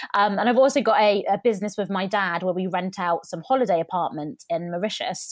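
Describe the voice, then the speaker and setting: The delivery is fairly quick with hardly any pauses and ordinary pitch variation. It is a normal speaking voice. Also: woman, medium pitch for a woman. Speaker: YouTube coach and entrepreneur. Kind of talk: casual interview chat.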